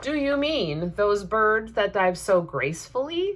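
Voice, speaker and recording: In a put-on character voice, a loud, female-sounding speaker at medium pitch for a woman goes at a fairly slow pace. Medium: read story. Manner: loud, hearty.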